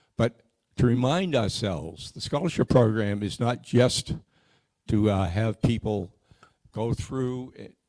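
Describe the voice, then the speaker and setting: Speaking with a Boston accent, a man has a dark, mellow tone and ordinary pitch variation. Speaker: scholarship committee member. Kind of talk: community meeting presentation. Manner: halting, with frequent repeats.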